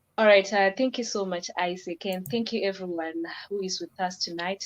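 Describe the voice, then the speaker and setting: With a normal speaking voice, a woman talks at a moderate pace in a medium pitch, using ordinary pitch variation. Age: 20s. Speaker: aircraft maintenance technician. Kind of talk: interview.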